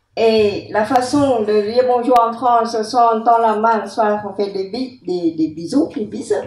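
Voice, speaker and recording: A woman with a dark, mellow tone and a fairly high pitch speaks at a very slow pace. Her pitch varies in an ordinary way, and the room echo is audible. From Cambodia. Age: 70s. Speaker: genocide survivor and witness. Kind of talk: testimony talk.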